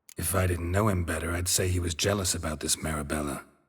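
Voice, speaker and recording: A man rattles along at a very fast pace in a put-on character voice. It is raspy, very deep and low, and deadpan in tone. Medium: video game. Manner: terse, deadpan.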